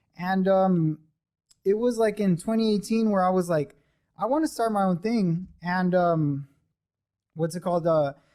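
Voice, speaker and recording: Using a dark, mellow tone, a man talks at a moderate pace in a high pitch with ordinary pitch variation. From Southern California (Sylmar, Los Angeles). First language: Spanish. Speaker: e-commerce business owner. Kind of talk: casual chat.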